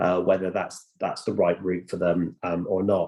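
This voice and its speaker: A man talks in a West Country accent at a fairly quick pace. His tone is dark and mellow. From Bristol, South West England. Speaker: apprenticeship training provider, panellist. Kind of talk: online panel discussion. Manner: hesitant, many fillers and repeats.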